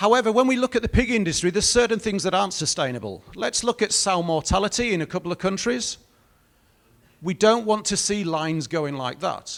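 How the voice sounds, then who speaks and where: A man with a British accent speaks at a fairly quick pace in a high voice. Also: lively intonation. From Britain. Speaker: industry speaker from a breeding company. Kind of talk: conference presentation.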